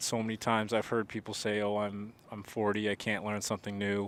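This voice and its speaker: The recording is very clean with a silent background. The speaker talks at a moderate pace with an American accent. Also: man. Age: 20s. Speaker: podcaster. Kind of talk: casual monologue.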